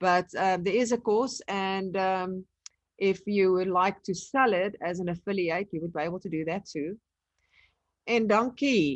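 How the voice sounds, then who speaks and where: A woman speaks with a South African accent at a medium pitch and a fairly slow pace. Her pitch varies in an ordinary way over a quiet background. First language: Afrikaans. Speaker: online business trainer. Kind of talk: live webinar tutorial. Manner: casual.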